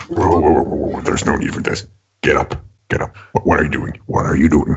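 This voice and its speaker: A man puts on a character voice, pitched very deep and low, and talks at a moderate pace. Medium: actual play. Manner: brash, joking.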